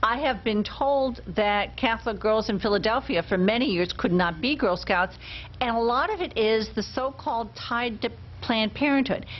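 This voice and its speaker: A woman with vocal fry speaks at a moderate pace and a fairly high pitch, her loudness very even and her pitch varying in an ordinary way. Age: old. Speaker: talk show co-host. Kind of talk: casual chat.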